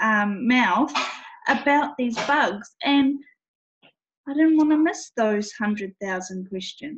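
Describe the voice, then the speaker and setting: A somewhat breathy woman with lively intonation at a fairly slow pace. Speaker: network marketing entrepreneur. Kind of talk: testimony. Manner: casual, hesitant with fillers.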